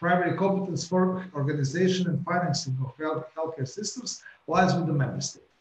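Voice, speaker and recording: A man with a high pitch talks at a fairly quick pace with ordinary pitch variation. Room echo is audible. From Croatia. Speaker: politician. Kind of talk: welcome address. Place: office. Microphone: webcam.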